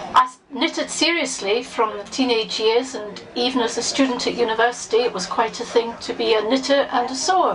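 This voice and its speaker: Noticeable background noise sits behind a woman speaking at a high pitch with ordinary pitch variation. Her pace is fairly quick, with hardly any pauses. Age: 60s. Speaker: member of the public. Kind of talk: personal testimony.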